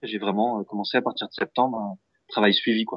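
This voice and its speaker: The man talks at a very fast pace with fairly even intonation. His pitch is fairly low. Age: 20s. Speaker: music teacher. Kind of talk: interview. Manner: hesitant, many fillers.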